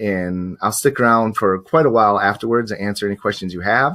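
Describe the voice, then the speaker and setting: Fairly even in intonation, this man has a bright, sharp tone and a fairly low pitch. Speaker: professional photographer and teacher. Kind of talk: webinar presentation. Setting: live online stream. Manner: fast; hesitant with many fillers.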